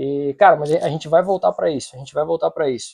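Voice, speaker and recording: The recording is dry and close with no echo. The speaker is a man. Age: 40s. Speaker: podcast host. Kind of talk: casual chat.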